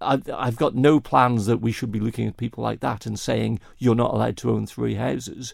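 In a Manx accent, a man talks at a fairly quick pace on a very clean recording with a silent background. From Isle of Man. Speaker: election candidate. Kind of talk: interview.

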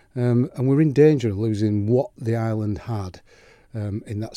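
A man with a Yorkshire accent, a fairly low pitch, and a dark, mellow tone on a very clean recording with a silent background. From West Yorkshire, England. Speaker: clergyman. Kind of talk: interview conversation. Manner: hesitant, many ums.

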